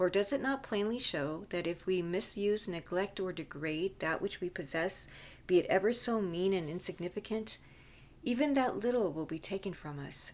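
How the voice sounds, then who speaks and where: A woman with a normal speaking voice talks at a moderate pace and medium pitch with lively intonation, on a very clean recording with a silent background. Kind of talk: audiobook reading. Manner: calm, measured.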